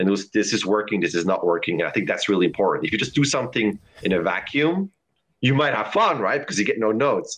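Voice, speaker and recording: Speaking at a very fast pace, a man with a fairly low pitch keeps his loudness very even while his intonation stays lively. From Switzerland, Lucerne. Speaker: animation supervisor and teacher. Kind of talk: casual interview. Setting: live stream video call.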